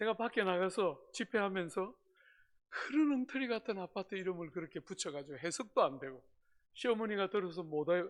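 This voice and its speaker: In a Gyeongsang accent, a man speaks with a high pitch, an animated tone and lively intonation. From South Korea, Gyeongsang (Busan). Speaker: pastor. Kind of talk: sermon.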